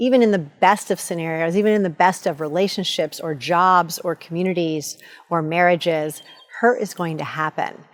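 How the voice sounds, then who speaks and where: A woman with a plain, everyday voice and a fairly low pitch speaks at a moderate pace with ordinary pitch variation. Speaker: motivational coach. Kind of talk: motivational talk to camera.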